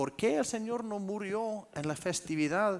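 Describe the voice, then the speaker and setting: A man talks very slowly with an Icelandic accent, his pitch swinging very widely. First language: Icelandic (speaking Spanish). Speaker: pastor. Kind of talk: sermon.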